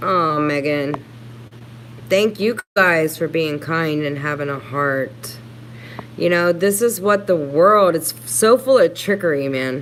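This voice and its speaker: Over noticeable background noise, the speaker talks at a very slow pace with lively intonation. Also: woman, very deep, low pitch for a woman. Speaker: YouTube livestreamer. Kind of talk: casual livestream chat reading comments.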